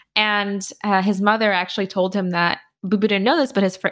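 On a very clean recording with a silent background, a woman with an unremarkable speaking voice talks fairly quickly at a medium pitch, her intonation fairly even. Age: 30s. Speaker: financial writer and podcaster. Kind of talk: interview.

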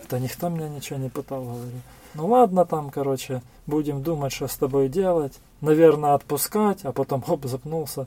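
Speaking at a fairly quick pace, a man with a plain, everyday voice and fairly high pitch shows big swings in loudness. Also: ordinary pitch variation. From Kherson, southern Ukraine. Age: 40s. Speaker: local councillor and volunteer, former captive. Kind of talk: testimony interview.

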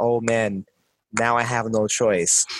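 The sound is close and dry, without echo. A man talks. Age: 30s. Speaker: podcast co-host. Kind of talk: casual chat. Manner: animated.

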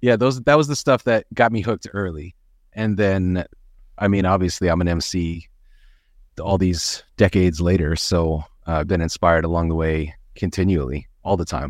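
A man with an American accent speaks at a moderate pace in a very deep, low voice with ordinary pitch variation. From United States. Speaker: rapper. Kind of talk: interview. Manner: casual with many fillers.

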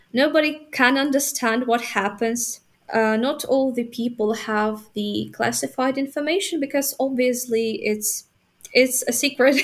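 A woman's high-pitched voice at a fairly slow pace, with a Ukrainian accent. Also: ordinary pitch variation. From Ukraine, Vinnytsia. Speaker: university student. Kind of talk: interview. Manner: halting, many fillers.

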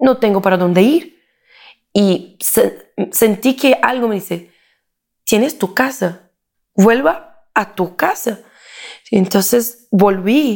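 A woman speaking at a very slow pace, with long, frequent pauses. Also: fairly high pitch for a woman. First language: Portuguese (speaking Spanish). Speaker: political consultant and speaker. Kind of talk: interview. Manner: halting.

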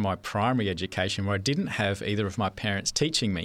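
On a very clean recording with a silent background, a man with an Australian accent talks at a fairly low pitch with ordinary pitch variation. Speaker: church member sharing life story. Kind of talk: testimony. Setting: studio. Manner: hesitant, many fillers.

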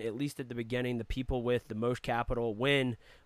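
This man has a normal speaking voice and a medium pitch. He talks at a fairly quick pace with fairly even intonation. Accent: American. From Virginia, north of Richmond. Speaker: podcast co-host. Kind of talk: casual interview chat.

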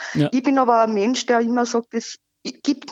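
A woman's high voice keeps a fairly even intonation while moving at a fairly slow pace. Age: 40s. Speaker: caller, volunteer fake-news debunker. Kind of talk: phone interview. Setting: phone call.

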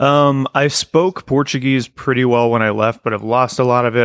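Dry and close with no echo, the recording carries a man's ordinary speaking voice, medium in pitch, at a moderate pace with fairly even intonation. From Portugal and US. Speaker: podcaster, former evangelical. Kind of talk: casual chat. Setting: video call.

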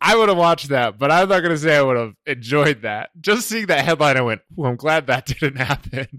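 A man speaks at a fairly high pitch and a fairly quick pace, animated, with lively intonation, a bright, sharp tone and hardly any pauses. The sound is dry and close with no echo, on a very clean recording with a silent background. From New England. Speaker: podcast host and software developer. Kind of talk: casual chat.

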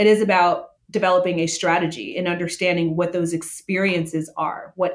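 At a fairly quick pace, a woman with an American accent talks in an ordinary speaking voice, her pitch fairly low. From Las Vegas, US. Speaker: hospitality consultant. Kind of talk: interview. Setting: video call.

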